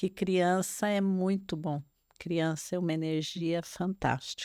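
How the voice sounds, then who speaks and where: A woman's fairly low voice at a very slow pace, with fairly even intonation, very even loudness, and a dry, close sound with no echo. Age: 70s. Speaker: retired grandmother, podcast guest. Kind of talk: casual interview chat.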